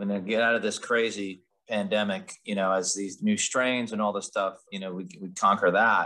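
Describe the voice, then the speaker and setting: Here a man talks at a moderate pace. He speaks with a Philadelphia accent. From Philadelphia suburbs, Pennsylvania. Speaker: podcast co-host, community organization co-founder. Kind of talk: casual podcast conversation.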